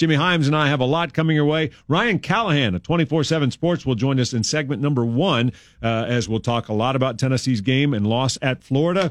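A man talks at a very fast pace with hardly any pauses. His medium pitch has ordinary variation, and his loudness stays very even. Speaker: sports radio host. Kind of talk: sports talk radio. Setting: radio studio.

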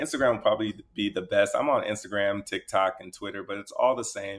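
A man speaks at a fairly quick pace. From US West Coast (Inglewood, California). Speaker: TV personality and actor. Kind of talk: casual interview. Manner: energetic.

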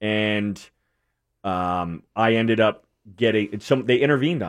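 With an American accent and ordinary pitch variation, this is an unremarkable speaking voice. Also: man. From New England, Connecticut. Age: 30s. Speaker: recovering addict. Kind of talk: testimony.

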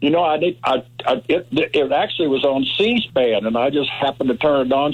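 Speaking in an ordinary speaking voice at a fairly quick pace, a man of medium pitch shows ordinary pitch variation. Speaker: caller. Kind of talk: casual chat. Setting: phone call.

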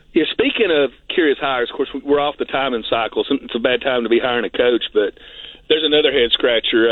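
A medium-pitched man at a very fast pace, with ordinary pitch variation. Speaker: caller. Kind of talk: casual phone-in chat. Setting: phone call.

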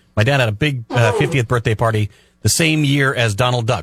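Somewhat breathy, a man's medium-pitched voice shows ordinary pitch variation. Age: 50s. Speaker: radio co-host. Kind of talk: casual chat. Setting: radio studio.

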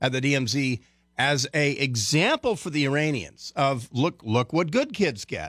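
This is a plain, everyday voice with lively intonation, captured in a very clean recording with a silent background and a dry, close sound with no echo. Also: man. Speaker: radio host and military analyst. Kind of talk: talk radio.

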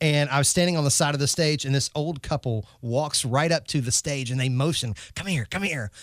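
With a Southern US accent, a man with a fairly high pitch talks at a fairly quick pace, hardly pausing, his pitch varying in an ordinary way on a very clean recording with a silent background. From North Carolina. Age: 30s. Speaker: radio host. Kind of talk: casual chat.

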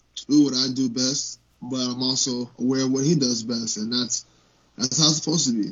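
Speaking at a fairly quick pace, a man with an unremarkable speaking voice keeps a medium pitch that varies in an ordinary way. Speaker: UFC heavyweight fighter. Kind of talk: interview.

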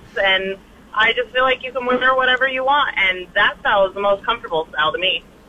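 A woman's high-pitched, very fast speech in an American accent, with lively intonation and noticeable background noise. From Montana, US. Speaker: radio show caller. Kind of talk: casual chat.

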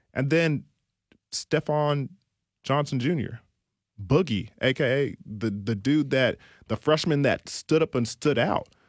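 A man with a fairly high pitch and ordinary pitch variation speaks at a fairly slow pace with long, frequent pauses, on a very clean recording with a silent background and a dry, close sound with no echo. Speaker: former college football safety, guest analyst. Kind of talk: radio banter, joking, then serious sports talk. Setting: radio studio. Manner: jokey, playful, animated.

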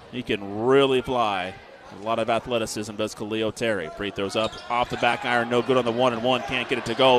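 Against noticeable background noise, a man with a medium pitch speaks in an energetic tone at a fairly quick pace. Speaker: play-by-play radio announcer. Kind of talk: live sports commentary. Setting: gym, radio broadcast. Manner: rapid, energetic play-by-play.

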